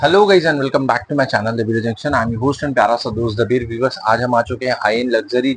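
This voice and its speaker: At a fairly quick pace, a man's somewhat breathy voice comes across in a dry sound with no echo. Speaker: channel host. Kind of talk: interview questions and vlog presenting. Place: shop. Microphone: lapel.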